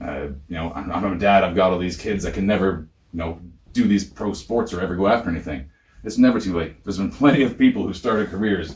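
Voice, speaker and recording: With a Canadian accent, a man talks very fast in a fairly low, somewhat breathy voice with ordinary pitch variation. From Ontario. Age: 30s. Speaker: professional wrestler. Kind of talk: interview. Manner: animated.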